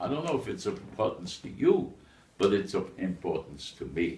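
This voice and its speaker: The room echo is audible. A man does the talking. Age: 90s. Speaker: eulogy speaker at a memorial. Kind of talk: memorial speech.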